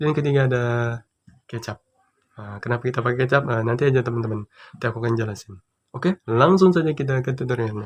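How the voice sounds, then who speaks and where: The voice is soft-spoken and somewhat breathy, with ordinary pitch variation. It moves at a very fast pace. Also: man, medium pitch for a man. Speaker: YouTuber. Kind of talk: tutorial. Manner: speaking softly; casual, chatty.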